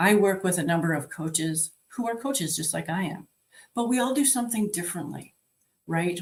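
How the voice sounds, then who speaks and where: A woman speaks at a moderate pace and medium pitch. Her voice is somewhat breathy, with lively intonation. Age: 60s. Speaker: life and health coach. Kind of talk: virtual conference talk. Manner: conversational.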